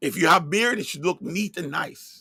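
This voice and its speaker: A man with a Jamaican accent speaks with lively intonation and a bright, sharp tone, the sound dry and close with no echo. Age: 50s. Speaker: religious online broadcaster. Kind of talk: religious monologue livestream.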